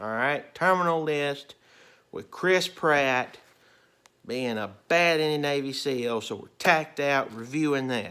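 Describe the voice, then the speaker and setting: A loud man speaks at a fairly high pitch and a fairly slow pace, his tone bright and sharp. His pitch varies in an ordinary way, and the recording is very clean with a silent background. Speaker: movie and TV reviewer. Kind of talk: casual video review.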